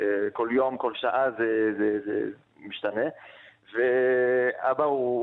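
With monotone, flat intonation, a man speaks at a medium pitch and a fairly slow pace. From France, Strasbourg. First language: French (speaking Hebrew). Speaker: interviewee with family in France. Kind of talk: interview. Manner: halting.

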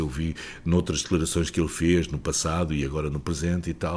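A man speaking at a moderate pace. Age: 70s. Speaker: veteran journalist and author. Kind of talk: interview.

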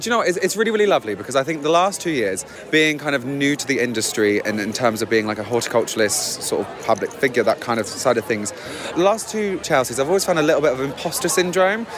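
Very fast speech with very wide pitch swings plays over music in the background. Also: man. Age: 20s. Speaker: drag queen gardener. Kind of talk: interview. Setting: outdoors at flower show. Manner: animated.

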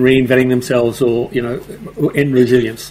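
Amid noticeable background noise, the talking keeps a moderate pace. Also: man. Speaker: podcast co-host. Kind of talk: casual interview chat. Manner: hesitant, many fillers.

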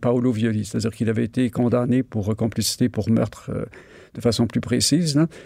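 A man's dark, mellow voice at a medium pitch, with fairly even intonation. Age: 60s. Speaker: retired journalist and author. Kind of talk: interview.

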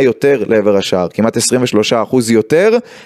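A man speaks with ordinary pitch variation. His tone is slightly mellow.

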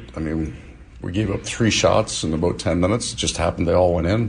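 Over noticeable background noise, a man with a very deep, low pitch speaks at a very fast pace with ordinary pitch variation. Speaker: hockey head coach. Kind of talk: post-practice media interview. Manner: rambling, self-correcting explanation.

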